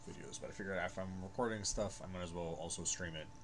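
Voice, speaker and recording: Background noise is noticeable as a man talks at a very fast pace. His pitch is very deep and low. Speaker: gaming streamer. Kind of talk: gameplay commentary. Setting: home recording, no headphones. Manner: soft-spoken. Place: home room.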